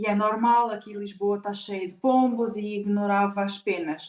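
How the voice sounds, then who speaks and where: A woman's fairly high voice moves along at a moderate pace. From Angola. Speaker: spiritual therapist. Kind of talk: podcast interview. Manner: animated.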